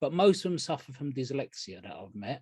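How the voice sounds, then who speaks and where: A man with a dark, mellow, somewhat breathy tone speaks at a moderate pace with lively intonation, in a dry, close sound with no echo. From England. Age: 60s. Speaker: recovering addict sharing at a meeting. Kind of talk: testimony. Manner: casual, rambling with hesitations.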